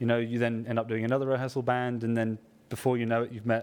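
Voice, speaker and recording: This man speaks with a southern English accent at a very fast pace. His intonation is monotone and flat. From southwest England (Somerset). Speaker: trumpet player. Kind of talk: workshop talk to live audience. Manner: casual, hesitant with fillers.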